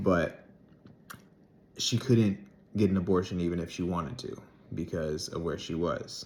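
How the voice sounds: Low in pitch with a slightly mellow tone, a man talks at a fairly slow pace with ordinary pitch variation.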